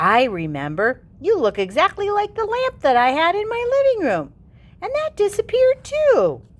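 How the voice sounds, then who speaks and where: A woman puts on a squeaky character voice at an extremely high pitch, keeping a cheerful tone and a moderate pace. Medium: read story. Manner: cheerful, kindly.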